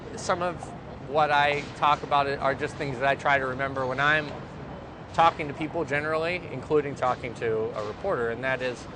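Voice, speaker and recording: Over noticeable background noise, a man with an American accent talks at a fairly quick pace, his fairly high pitch showing ordinary variation. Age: 30s. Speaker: activist and nonprofit leadership trainer. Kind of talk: interview. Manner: hesitant, many fillers.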